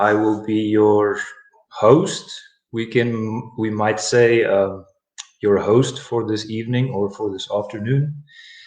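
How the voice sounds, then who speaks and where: A man talks at a very slow pace with a South African accent. His pitch sits fairly low. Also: fairly even intonation. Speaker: English teacher. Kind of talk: live online English lesson.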